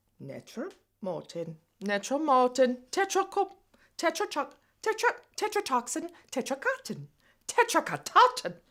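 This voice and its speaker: A female-sounding voice uses a put-on character voice pitched high. It moves at a moderate pace with long, frequent pauses. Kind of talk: comedy web series dialogue.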